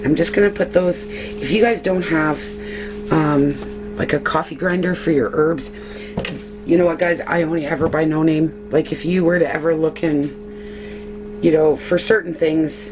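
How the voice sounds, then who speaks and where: Here a woman speaks at a moderate pace. Music plays in the background. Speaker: homesteader. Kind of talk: tutorial. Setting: at home, early morning. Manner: casual, chatty.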